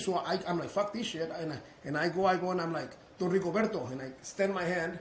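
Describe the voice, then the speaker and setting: A man with a Spanish accent at a high pitch and fairly quick pace, with audible room echo and noticeable background noise. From Mexico. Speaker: business owner. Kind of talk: interview storytelling. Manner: animated; halting, repeats words.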